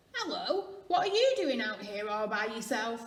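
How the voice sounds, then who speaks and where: A woman puts on a croaky, hoarse character voice at a fairly high pitch, speaking at a moderate pace with audible echo. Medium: read story.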